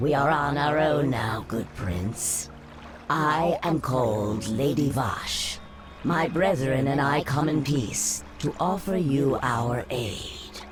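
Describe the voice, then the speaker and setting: A put-on character voice speaks at a very slow pace in a low-to-middle pitch. Background noise is clear. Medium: short film. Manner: smooth, persuasive.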